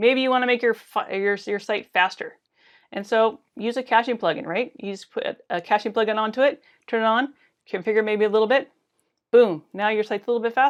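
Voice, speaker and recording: A woman speaks fairly quickly in a fairly high pitch with fairly even intonation. The background is quiet. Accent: American. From US Pacific Northwest. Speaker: conference speaker, web developer. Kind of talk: conference talk. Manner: fast.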